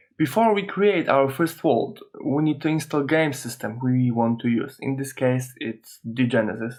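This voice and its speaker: A man with a non-native accent, a moderate pace and lively intonation. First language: not English. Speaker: software tutorial host. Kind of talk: tutorial. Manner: hesitant, many filler uhs.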